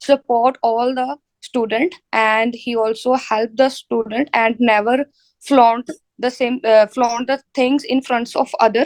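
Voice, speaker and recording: Speaking at a very slow pace in a Punjabi accent, a woman with a high pitch sounds dry and close, with no echo. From India, Punjab. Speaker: IELTS test candidate. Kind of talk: mock speaking exam. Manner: halting, many fillers.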